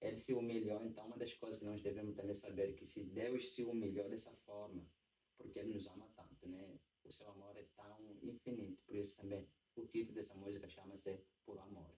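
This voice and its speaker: In an Angolan accent, a man talks at a fairly quick pace with a monotone, flat intonation and big swings in loudness. His fairly low voice is somewhat breathy, with a dark, mellow tone. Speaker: church singer and songwriter. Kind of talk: casual podcast interview.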